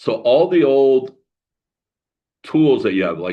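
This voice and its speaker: At a fairly slow pace, a man delivers his words. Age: 60s. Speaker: spiritual coach and author. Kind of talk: solo podcast monologue. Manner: halting, many fillers.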